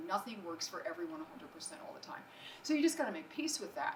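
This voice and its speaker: With an American accent, this voice makes very wide pitch swings against noticeable background noise. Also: woman. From New Jersey. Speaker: acupuncturist and entrepreneur. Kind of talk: business presentation. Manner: fast.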